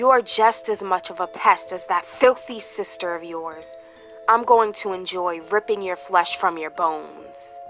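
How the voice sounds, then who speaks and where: A woman puts on a character voice, hissing and growling at a fairly low pitch and a moderate pace, with clear music playing behind her. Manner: growling, menacing.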